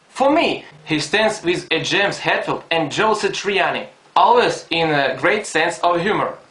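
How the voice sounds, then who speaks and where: Someone with a non-native accent speaks over noticeable background noise. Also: man. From Ukraine, Donetsk. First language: Russian or Ukrainian. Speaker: fan. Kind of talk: fan video message.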